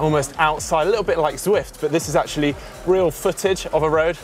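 Faint music plays in the background as a man with a high pitch talks at a very fast pace, with ordinary pitch variation. The sound is dry, with no echo. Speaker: presenter. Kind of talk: product walkthrough commentary. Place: tent. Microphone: lapel.

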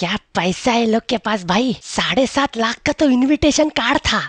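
In a cartoonish character voice, a man speaks at a moderate pace with an extremely high pitch. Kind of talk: comic monologue in Hindi. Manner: boastful, joking.

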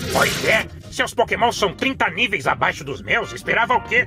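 The speaker uses a put-on character voice at a moderate pace. Clear music plays in the background. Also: man. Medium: dub. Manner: relaxed, casual.

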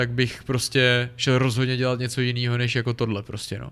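Here is a man with a medium pitch. He keeps a moderate pace. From Czech Republic, Sokolov. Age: 30s. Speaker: ice hockey player. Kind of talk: podcast interview.

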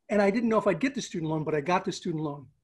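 Only a quiet background accompanies the man as he talks. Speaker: remote podcast guest. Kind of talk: interview answer. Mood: amused, storytelling. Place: home room. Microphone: video call.

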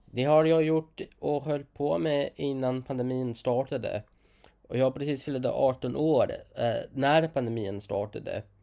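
With a dark, mellow tone, a man of fairly high pitch speaks at a fairly slow pace with ordinary pitch variation. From outside Sweden. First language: not Swedish (speaking Swedish). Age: 20s. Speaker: vlogger. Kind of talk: casual monologue.

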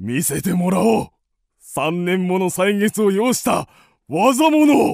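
A put-on character voice at a fairly slow pace. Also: man, high pitch for a man.

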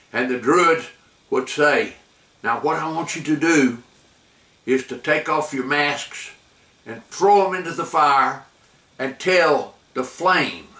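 A man speaking at a very slow pace with long, frequent pauses, ordinary pitch variation and audible room echo. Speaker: grandfather storyteller. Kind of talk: storytelling to camera. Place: home room.

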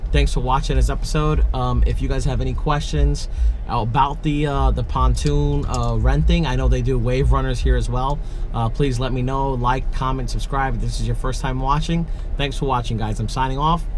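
The pace is moderate. Light background noise sits behind the voice. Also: man. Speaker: vlogger. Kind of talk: casual vlog chat. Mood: upbeat, relaxed. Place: car. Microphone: phone near.

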